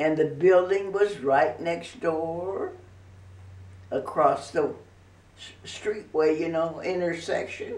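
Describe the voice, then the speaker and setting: A woman speaks at a very slow pace with long, frequent pauses and big swings in loudness. Audible room echo surrounds her voice. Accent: Midwestern American. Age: 90s. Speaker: grandmother sharing memories. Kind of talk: casual interview reminiscence.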